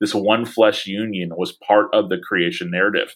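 A man with an unremarkable speaking voice, fairly low in pitch, at a fairly quick pace. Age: 40s. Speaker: pastor and author. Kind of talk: casual interview.

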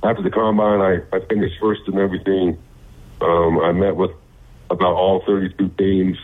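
A man's very deep, low pitch in monotone, flat intonation, with an American accent. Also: moderate pace, very even loudness. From Utah. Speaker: professional football player. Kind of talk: interview. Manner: halting, many fillers; loud and passionate.

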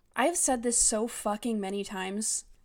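A woman speaks in an animated tone at a fairly high pitch, with ordinary pitch variation and a moderate pace. The recording is very clean, with a silent background. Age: 30s. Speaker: podcast host reviewing books. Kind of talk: casual solo commentary.

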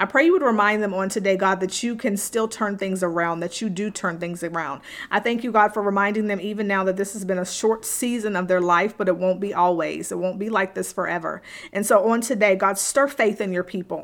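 A plain, everyday voice moves at a fairly quick pace with hardly any pauses. Its intonation is fairly even. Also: woman, medium pitch for a woman. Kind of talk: fervent prayer spoken over listeners. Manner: earnest, fervent, pleading; repetitive, rhythmic, with pauses and fillers.

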